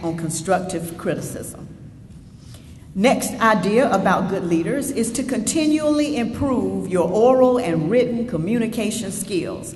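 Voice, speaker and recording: Against noticeable background noise, a woman with a Southern US accent speaks at a fairly slow pace, her fairly high pitch carrying lively intonation. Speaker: state senator, keynote speaker. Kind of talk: keynote speech. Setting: stage with audience. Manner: assertive.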